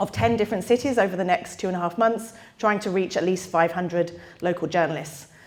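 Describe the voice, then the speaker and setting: Talking at a fairly quick pace, a woman with an American accent shows ordinary pitch variation over noticeable background noise. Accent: British, noticeable to US audience. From United Kingdom. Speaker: disinformation researcher. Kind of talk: public lecture. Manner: fast.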